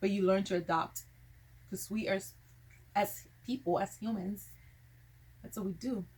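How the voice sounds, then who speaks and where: Vocal fry runs through speech at a moderate pace, with fairly even intonation and long, frequent pauses. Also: woman, medium pitch for a woman. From Liberian family, raised in California. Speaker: vlogger. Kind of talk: casual talk to camera.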